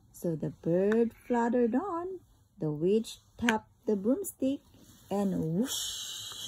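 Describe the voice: Read aloud plainly, with lively intonation.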